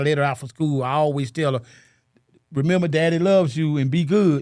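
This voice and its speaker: A man with an American accent speaks in a plain, everyday voice. His pitch is fairly high and his intonation fairly even. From US South, Chattanooga Tennessee. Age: 60s. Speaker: single father, painter. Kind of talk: interview, casual chat.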